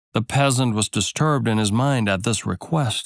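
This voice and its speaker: A man speaks at a moderate pace with a dramatic tone, at medium pitch with ordinary pitch variation. The sound is dry and close with no echo, on a very clean recording with a silent background. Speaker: audiobook narrator. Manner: measured, storyteller's cadence with dramatic, character-voiced dialogue.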